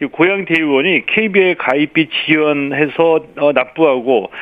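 This man talks with ordinary pitch variation. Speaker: sports critic. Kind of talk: radio commentary. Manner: frequent fillers, halting.

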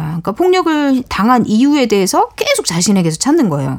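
This woman's pitch swings very widely. Noticeable background noise sits behind her. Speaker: writer. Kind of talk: radio talk show discussion. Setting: studio.

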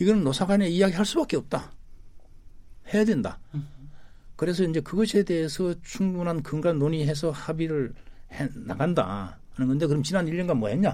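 The voice has a dark, mellow tone and ordinary pitch variation, moving at a moderate pace with long, frequent pauses. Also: man, high pitch for a man. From South Korea, Gyeongnam (Hamyang). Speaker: labor leader, government commission chair. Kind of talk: radio interview.

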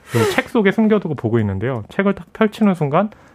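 A man talks fairly quickly with very wide swings in pitch, noticeable noise sounding in the background. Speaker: film critic. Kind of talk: radio film review discussion. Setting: radio studio.

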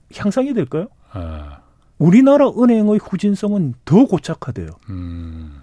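Fairly slow speech broken by long, frequent pauses, with a dry, close sound, no echo, and a very clean recording over a silent background. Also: man. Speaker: economics professor. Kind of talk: interview.

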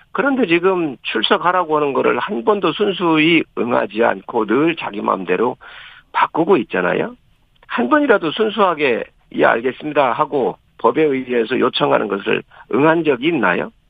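A man's fairly high voice with very wide pitch swings at a moderate pace. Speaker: member of parliament. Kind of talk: political interview. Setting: phone call.

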